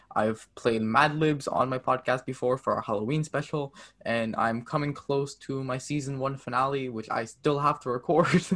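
This man has an ordinary speaking voice with a Canadian accent and a medium pitch. He talks at a moderate pace with fairly even intonation. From Canada. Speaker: amateur podcaster.

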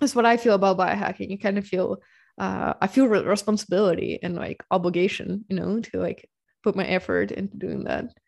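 At a fairly quick pace, a woman speaks in a Ukrainian accent against a quiet background. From Ukraine, Dnipro. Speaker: podcast host, biohacker. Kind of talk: casual interview.

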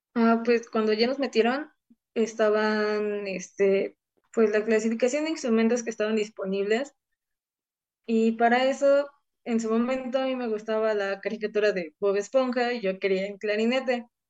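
In an unremarkable speaking voice, a woman talks at a moderate pace with a fairly high pitch and fairly even intonation. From Mexico, Puebla state. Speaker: flutist. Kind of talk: interview.

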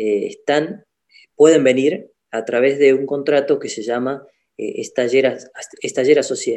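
A man speaks at a moderate pace. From Argentina, Salta. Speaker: doctor (orthopedic surgeon). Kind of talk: casual interview chat.

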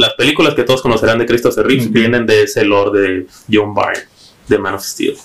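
At a very fast pace, a man with a medium pitch talks with ordinary pitch variation. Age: 20s. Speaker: comic book fan. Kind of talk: casual chat.

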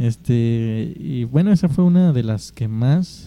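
Recorded dry and close with no echo, a man speaks in a dark, mellow tone with lively intonation. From Mexico. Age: 20s. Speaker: podcast host. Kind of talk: casual chat.

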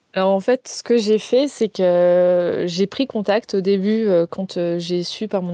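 A dark, mellow tone comes at a fairly slow pace with fairly even intonation, in a dry, close sound with no echo. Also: woman. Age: 20s. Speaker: naturopath and reflexologist. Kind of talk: interview about grief and wellness.

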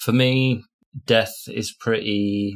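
A man's medium-pitched voice with a northern English accent and fairly even intonation. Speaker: podcast co-host. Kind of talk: casual chat.

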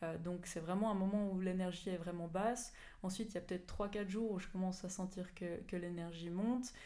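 Audible room echo surrounds a woman whose dark, mellow tone carries fairly even intonation. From Switzerland, Fribourg area. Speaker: sports scientist and mountain runner. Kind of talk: interview.

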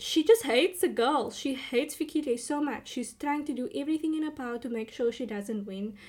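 On a very clean recording with a silent background, a woman with a high voice talks fairly quickly and with hardly any pauses, her tone animated and her intonation lively. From South Africa, Cape Town. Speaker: podcast host, TV recapper. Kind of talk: casual solo recap.

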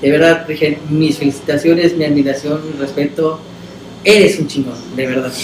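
A man with a fairly high voice speaks at a moderate pace with fairly even intonation. Noticeable noise can be heard behind him. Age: 40s. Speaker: podcast host. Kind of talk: casual chat. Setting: studio.

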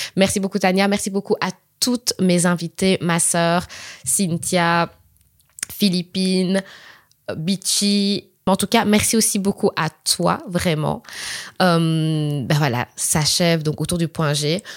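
A woman with a fairly low voice speaks very slowly, with long, frequent pauses and ordinary pitch variation, in a dry, close sound with no echo. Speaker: podcast host. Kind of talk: casual chat.

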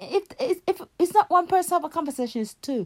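A woman's voice with big pitch swings

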